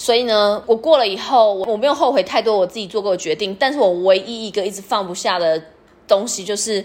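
A woman with an ordinary speaking voice talks at a fairly quick pace, her medium pitch showing ordinary variation while her loudness swings widely. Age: 30s. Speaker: podcast host. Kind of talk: personal experience monologue.

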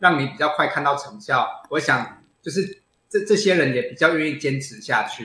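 A man's fairly high, bright, sharp voice at a fairly quick pace, with ordinary pitch variation, big swings in loudness and audible room echo. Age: 40s. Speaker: plastic surgeon and bodybuilder. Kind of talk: interview. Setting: video call.

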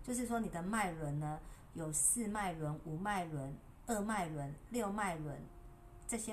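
A woman with a Taiwanese accent speaks at a moderate pace in a fairly low voice, her pitch varying in an ordinary way. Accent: Taiwanese Mandarin. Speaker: wellness livestreamer. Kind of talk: casual livestream talk. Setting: livestream. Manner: soothing, sleep-inducing.

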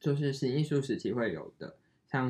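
His voice is somewhat breathy, with a dark, mellow tone, as this man speaks at a fairly slow pace at a medium pitch with ordinary pitch variation. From Taiwan. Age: 20s. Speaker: podcast co-host, designer. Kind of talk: casual chat.

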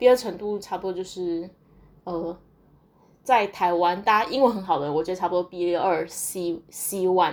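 With a medium pitch and ordinary pitch variation, a woman speaks. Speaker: podcaster and graduate student abroad. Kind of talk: casual solo monologue. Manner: hesitant with many fillers.

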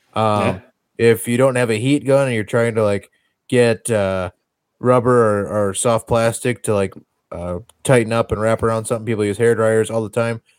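A man's normal speaking voice with an American accent, medium in pitch, fairly even in intonation and moderate in pace, on a very clean recording with a silent background and a dry, close sound with no echo. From Wisconsin. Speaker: podcast host. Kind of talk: casual chat.

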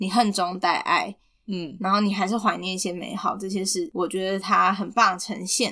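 A woman with a Taiwanese accent speaks at a medium pitch in a bright, sharp tone with fairly even intonation. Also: moderate pace. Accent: Taiwanese Mandarin. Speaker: podcast co-host. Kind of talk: casual chat about a film.

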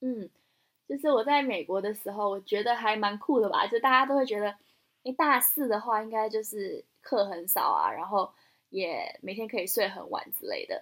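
A woman with a Taiwanese accent talks at a moderate pace, her fairly high voice showing ordinary pitch variation. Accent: Taiwanese Mandarin. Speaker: podcast co-host. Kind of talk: casual chat.

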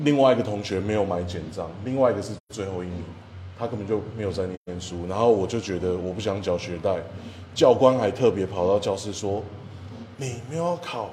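A man with a fairly low pitch speaks at a fairly quick pace, with ordinary pitch variation and big swings in loudness. Audible room echo surrounds his voice. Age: 30s. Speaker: egg crepe shop owner and drum teacher. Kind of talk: casual interview.

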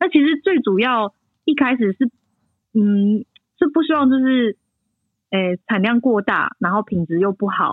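A woman speaks at a fairly high pitch with very wide pitch swings. Her pace is fairly slow, with long, frequent pauses. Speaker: winemaker. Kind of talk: casual interview. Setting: remote call from France.

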